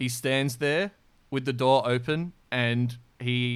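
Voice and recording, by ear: Reading aloud in a natural voice, intonation fairly even throughout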